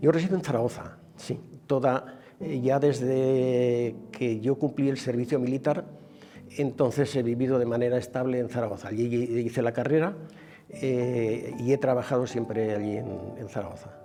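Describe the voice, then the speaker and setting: A man at medium pitch and a moderate pace, with ordinary pitch variation, over noticeable background noise. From Aragón, Spain (near Tarazona). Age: 80s+. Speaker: retired industrial engineer interviewee. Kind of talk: interview testimony. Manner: halting, with many fillers.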